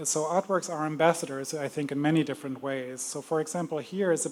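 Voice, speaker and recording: A man with a German accent talks at a fairly quick pace. His voice is fairly high-pitched, with fairly even intonation. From Germany. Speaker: museum curator. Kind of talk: lecture. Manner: hesitant, many fillers.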